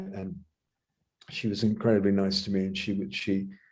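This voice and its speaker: A fairly quick pace from a man with a dark, mellow tone and ordinary pitch variation. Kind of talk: interview. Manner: halting.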